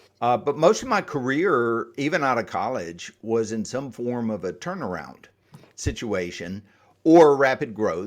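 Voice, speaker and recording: A man with a slight Southern US accent speaks at a fairly slow pace and a medium pitch, with very wide pitch swings. The recording is very clean, with a silent background. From US South, Atlanta, Georgia area. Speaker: exit planning advisor. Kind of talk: podcast interview.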